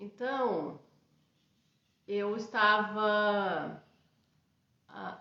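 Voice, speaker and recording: Audible room echo surrounds a woman's voice. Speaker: radiesthesia teacher and institute founder. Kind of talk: live-streamed class. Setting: live stream. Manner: halting, many fillers. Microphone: unstable internet connection.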